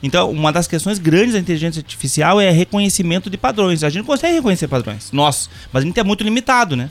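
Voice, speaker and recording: This man talks at a very fast pace with lively intonation and a high pitch. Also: hardly any pauses. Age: 50s. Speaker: university professor of computing. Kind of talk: casual podcast chat.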